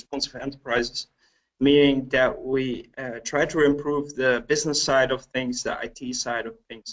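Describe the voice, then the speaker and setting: At a moderate pace, a man with a fairly high pitch talks with a slight Dutch accent. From Netherlands, Helmond. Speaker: agile trainer and coach. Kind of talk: webcast presentation.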